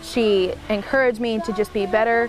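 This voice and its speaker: A woman with an Oklahoma accent speaks at a fairly high pitch over noticeable background noise. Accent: Southwest Oklahoma. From Southwest Oklahoma, Lawton. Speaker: country musician. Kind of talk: interview.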